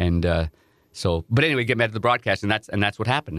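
A man with an Ontario accent and a fairly low pitch speaks at a very fast pace with ordinary pitch variation, in a dry, close sound with no echo on a very clean recording with a silent background. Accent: Canadian (Ontario). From Ontario, Canada (Nepean, near Ottawa). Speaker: hockey broadcast analyst and former goalie. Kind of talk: interview storytelling. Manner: animated.

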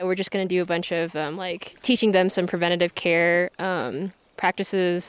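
With an American accent, a woman speaks at a medium pitch and a fairly quick pace. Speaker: medical student. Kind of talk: casual interview. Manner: hesitant, filler words.

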